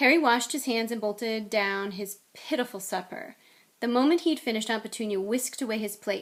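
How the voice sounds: Here is a natural reading voice. Its pitch variation is ordinary.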